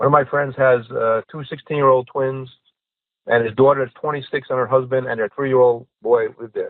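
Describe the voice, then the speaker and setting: Speaking at a fairly quick pace, a man with a medium pitch shows big swings in loudness. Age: 60s. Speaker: podcast guest. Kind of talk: casual chat. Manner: animated.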